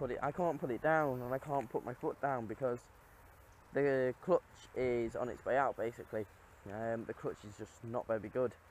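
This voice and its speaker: A man talks at a moderate pace. The sound is dry with no echo, over light background noise. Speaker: car owner vlogger. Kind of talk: casual vlog chat. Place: open country. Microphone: phone near.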